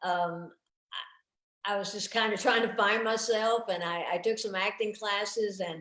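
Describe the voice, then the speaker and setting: With a Southern US accent, a woman talks at a moderate pace in a medium pitch, her intonation fairly even. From US South, Tennessee. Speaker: stand-up comedian. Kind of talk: casual interview chat.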